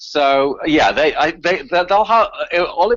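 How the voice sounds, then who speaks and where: A man with a Northern Irish accent talks at a fairly quick pace. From Northern Ireland, Belfast. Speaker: activist researcher. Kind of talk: radio interview. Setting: radio show. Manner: halting, many repetitions.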